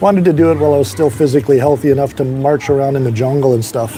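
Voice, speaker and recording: Very fast speech comes from a man with a fairly high pitch. Noticeable background noise runs underneath. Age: 60s. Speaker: expat vlogger. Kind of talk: casual livestream chat. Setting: outdoors on a balcony. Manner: halting, repeats words.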